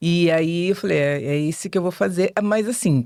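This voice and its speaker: A woman speaks at a moderate pace. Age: 60s. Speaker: teacher and journalism student. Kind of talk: podcast interview. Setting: studio.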